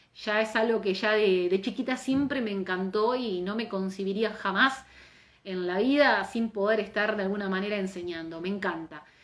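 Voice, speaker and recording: In a room with audible echo, a woman of medium pitch speaks at a moderate pace in an animated tone with ordinary pitch variation. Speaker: labor lawyer and teacher. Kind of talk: live online lecture. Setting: Instagram live stream.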